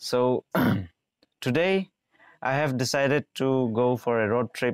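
At a fairly slow pace, a man speaks with ordinary pitch variation, the recording dry with no echo and the background quiet. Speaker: travel vlogger. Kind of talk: casual vlog chat. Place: garden. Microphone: lapel.

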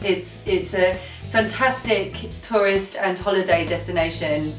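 A woman's voice with audible room echo and clear music in the background. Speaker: travel vlogger. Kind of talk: casual vlog chat. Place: home room.

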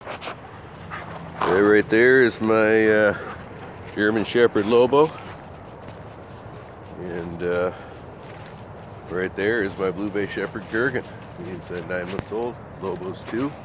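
Over noticeable background noise, a man with a fairly low pitch talks at a very slow pace with ordinary pitch variation and long, frequent pauses, in a dry sound with no echo. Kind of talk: casual vlog chat. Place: forest. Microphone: phone near.

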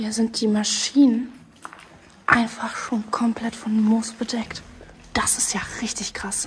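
A very slow pace over light background noise. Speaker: urban explorer vlogger. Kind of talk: casual vlog chat. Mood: curious, cautious. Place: factory. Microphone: phone near.

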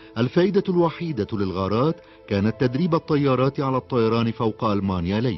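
A man speaks with very wide pitch swings but very even loudness. Music plays in the background. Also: medium pitch for a man. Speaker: voice-over narrator. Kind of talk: documentary narration. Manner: calm, soothing.

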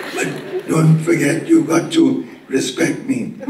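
A man uses a hoarse, put-on character voice at a fairly slow pace. There is slight echo and clear background noise. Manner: demanding respect.

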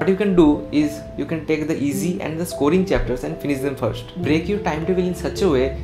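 Clear music plays in the background. A man speaks at a fairly quick pace. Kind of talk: tutorial advice to camera. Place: home room.

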